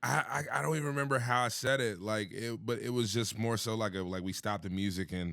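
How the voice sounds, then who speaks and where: Loud and very fast, a man with an American accent speaks with a fairly low pitch, a bright, sharp tone, lively intonation and hardly any pauses. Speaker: hype man and DJ. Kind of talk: podcast interview. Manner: casual, relaxed in conversation, unlike his loud mic voice.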